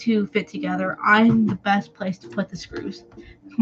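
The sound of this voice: Reading in an unforced reading voice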